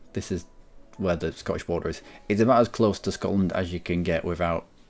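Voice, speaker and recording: A man with a slight Cumbrian accent and a very deep, low pitch, at a fairly quick pace with ordinary pitch variation, over music in the background. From Cumbria, northern England. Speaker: gaming streamer. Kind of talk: casual chat.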